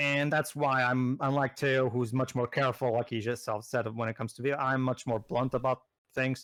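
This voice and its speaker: The speaker has a Portuguese accent, captured in a very clean recording with a silent background. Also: man. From Portugal. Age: 30s. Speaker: gaming commentator. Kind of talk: casual chat. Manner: halting, many repetitions.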